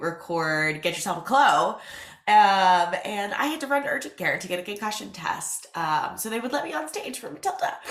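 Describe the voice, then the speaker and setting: A woman at medium pitch speaks at a moderate pace in an animated tone with lively intonation. Audible room echo and noticeable background noise are present. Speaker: podcast host and business owner. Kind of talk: casual solo podcast talk. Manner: animated, chatty.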